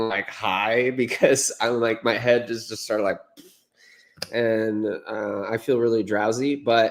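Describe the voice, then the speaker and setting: Fairly slow, monotone, flat speech from a man. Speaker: political history channel host. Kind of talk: casual political discussion. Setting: live stream.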